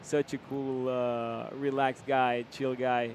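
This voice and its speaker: A man speaks with an Argentine accent. His pitch is medium. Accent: Argentinian Spanish accent in English. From Argentina. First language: Spanish. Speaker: live race commentator. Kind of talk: live commentary. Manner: halting, many fillers.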